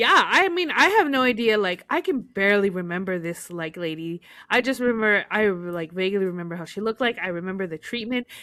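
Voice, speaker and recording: In a Spanish accent, a woman with a medium-pitched, bright, sharp voice talks at a fairly quick pace with hardly any pauses. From United States, raised in Spanish-speaking Mexican family. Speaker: podcast co-host. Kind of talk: casual chat. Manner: halting, many fillers.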